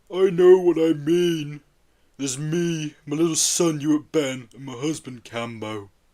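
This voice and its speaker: A put-on character voice at a moderate pace. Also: man, fairly high pitch for a man. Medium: read story. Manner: earnest, simple.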